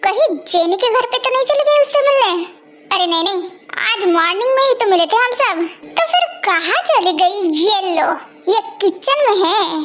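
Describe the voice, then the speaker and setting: Using a put-on character voice at an extremely high pitch, a woman talks at a fairly quick pace with lively intonation and long, frequent pauses. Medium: fan dub. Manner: cheeky, slangy.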